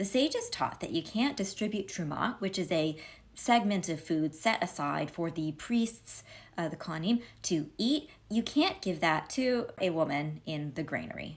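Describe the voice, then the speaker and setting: A somewhat breathy woman's voice at medium pitch, with very wide pitch swings. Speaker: Talmud commentator. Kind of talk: casual commentary on Talmud. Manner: fast.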